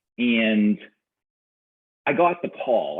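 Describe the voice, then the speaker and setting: A man with a strong Boston accent and lively intonation. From Boston, Massachusetts. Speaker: business coach and serial entrepreneur. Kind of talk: interview conversation. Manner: halting, many repetitions and fillers.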